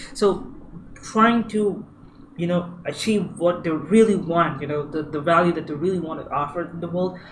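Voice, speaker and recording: Noticeable background noise accompanies a man's high-pitched voice, whose pitch varies in an ordinary way. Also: moderate pace. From India. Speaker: user experience designer. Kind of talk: tutorial. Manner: halting, many fillers and repeats.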